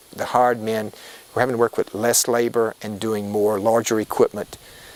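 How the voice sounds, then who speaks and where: Recorded dry and close with no echo but with noticeable background noise, a man speaks at a medium pitch with an American accent. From South Louisiana (Elton). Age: 50s. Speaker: rice farmer. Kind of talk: interview testimony. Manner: halting.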